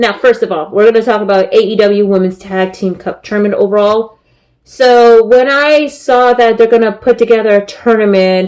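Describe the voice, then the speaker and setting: Her intonation fairly even, a woman talks at a moderate tempo. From San Francisco Bay Area, California. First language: Spanish. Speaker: wrestling podcast host. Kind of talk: podcast commentary. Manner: many filler words.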